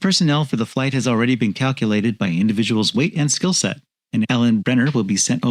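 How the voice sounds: Against a quiet background comes a natural reading voice.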